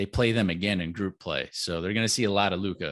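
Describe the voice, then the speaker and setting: A man with an American accent talks at a fairly quick pace in a very deep, low pitch with ordinary pitch variation, against a quiet background. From Florida, Orlando. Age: 30s. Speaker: basketball blogger. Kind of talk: casual chat.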